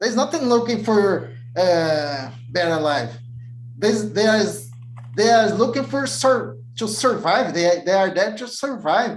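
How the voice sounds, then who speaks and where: Audible room echo surrounds a man speaking in a Portuguese accent at a fairly slow pace. His high pitch moves in very wide swings. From Brazil. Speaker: IT technical lead. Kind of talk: interview. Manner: halting.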